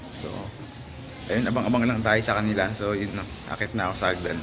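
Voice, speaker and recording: A man talks at a very fast pace with medium pitch and fairly even intonation. Music plays in the background, and audible room echo surrounds him. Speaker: college student vlogger. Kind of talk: casual vlog. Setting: school, library and store. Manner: whispering in library.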